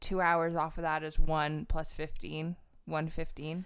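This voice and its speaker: Her intonation stays monotone and flat as the woman speaks. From northern England. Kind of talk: casual chat. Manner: chatty and joking.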